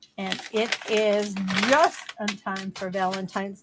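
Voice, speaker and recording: A woman speaks at a very slow pace. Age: 70s. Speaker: online resale seller. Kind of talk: live sales stream. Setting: livestream on social media. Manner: casual, chatty.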